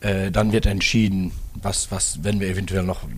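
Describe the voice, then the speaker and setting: A man with a Dutch accent speaks at a moderate pace and a fairly low pitch, his pitch varying an ordinary amount. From Netherlands. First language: Dutch (speaking German). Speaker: car dealership executive. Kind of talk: interview.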